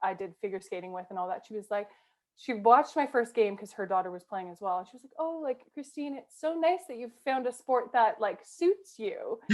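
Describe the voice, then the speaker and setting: With a Canadian accent and an ordinary speaking voice, a woman talks at a fairly quick pace. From Canada. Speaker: rugby player. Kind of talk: casual interview chat. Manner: chatty, many fillers.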